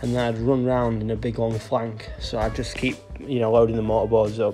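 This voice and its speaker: A man at a fairly quick pace, with clear music in the background. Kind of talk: casual vlog chat while working. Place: street. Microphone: phone near.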